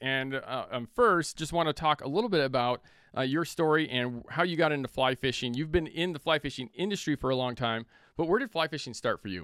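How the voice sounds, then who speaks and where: A man with an American accent uses a normal speaking voice and lively intonation. The recording is very clean with a silent background and a dry, close sound with no echo. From Northern California. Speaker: podcast host and fly shop owner. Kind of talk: promotional read; casual chat.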